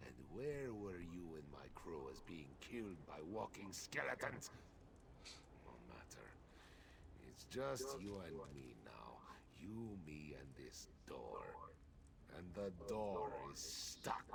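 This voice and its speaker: Using a put-on character voice, a man speaks at a fairly slow pace in a very deep, low pitch, with long, frequent pauses over loud background noise. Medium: video game. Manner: salty, sardonic.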